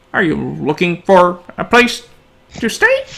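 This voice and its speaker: The delivery is fairly slow. It is a put-on character voice pitched in the middle range. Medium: actual play. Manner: polite, gentle.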